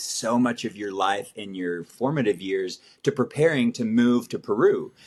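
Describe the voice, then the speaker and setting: A man speaks with an American accent at a moderate pace, his pitch medium. It is a plain, everyday voice. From Italy (American family). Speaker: missionary. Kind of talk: casual chat.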